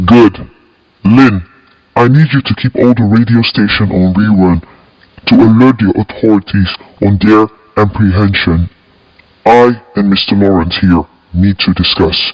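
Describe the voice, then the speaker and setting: Delivered in a put-on character voice, the speech has long, frequent pauses. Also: man, fairly low pitch for a man, moderate pace. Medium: audio drama. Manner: calm, cold, controlled.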